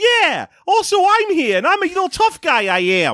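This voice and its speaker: An extremely high, squeaky put-on character voice. It moves along at a moderate pace. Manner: cocky, tough-sounding.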